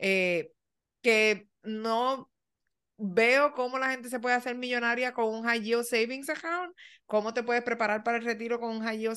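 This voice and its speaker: A woman with a fairly high pitch and a bright, sharp tone speaks at a moderate pace with ordinary pitch variation over a quiet background. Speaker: podcast co-host. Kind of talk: casual chat.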